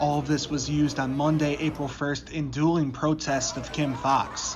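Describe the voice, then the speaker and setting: This man's voice is fairly high in pitch and somewhat breathy. He talks at a fairly slow pace. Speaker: broadcast journalism student and reporter. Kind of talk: live field reporter stand-up and voiceover.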